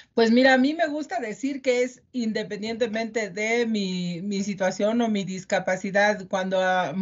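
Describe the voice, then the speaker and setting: Somewhat breathy woman's voice, medium pitch, ordinary pitch variation. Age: 40s. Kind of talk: interview. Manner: hesitant, many fillers.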